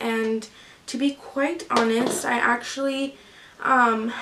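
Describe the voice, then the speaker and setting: Noticeable background noise sits behind a woman with a fairly high pitch. She speaks at a very slow pace with fairly even intonation. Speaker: lifestyle vlogger and crafter. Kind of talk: casual vlog talk. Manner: hesitant, many fillers.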